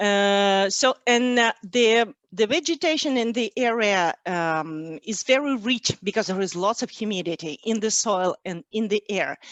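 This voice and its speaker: A woman with a Russian accent speaks at a fairly slow pace, with a fairly high pitch and lively intonation. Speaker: cheesemonger. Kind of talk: webinar presentation. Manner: halting, many fillers.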